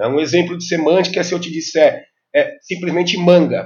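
A man's voice, high in pitch. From Brazil, São Paulo metro area (ABC region). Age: 50s. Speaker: health IT specialist. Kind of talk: podcast interview.

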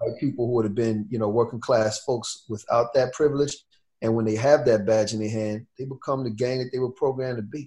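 A man's dark, mellow, somewhat breathy voice at a very fast pace with fairly even intonation. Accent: American. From New York. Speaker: activist and spoken word poet. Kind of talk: casual interview conversation.

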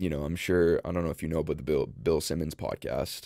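A man's very deep, low voice with a dark, mellow tone, vocal fry and fairly even intonation. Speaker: podcaster and content creator. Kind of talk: casual chat. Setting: studio.

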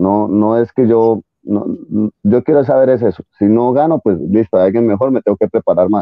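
A man with a plain, everyday voice speaks at a fairly quick pace, his medium pitch showing ordinary variation. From Colombia. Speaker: jiu-jitsu competitor, former triathlete. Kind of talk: interview.

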